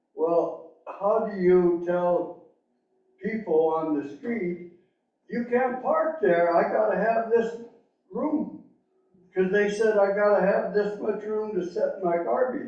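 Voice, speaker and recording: A man with a high pitch speaks very slowly with lively intonation. Long, frequent pauses break his speech, and audible room echo surrounds it. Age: 80s+. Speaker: elderly resident speaking at public comment. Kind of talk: public comment at city meeting.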